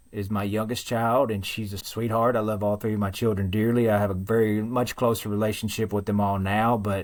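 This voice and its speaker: A man talks at a moderate pace with a fairly low pitch and a strong Southern US accent. The recording is very clean, with a silent background. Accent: thick Southern. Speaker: guest sharing recovery story. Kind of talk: testimony.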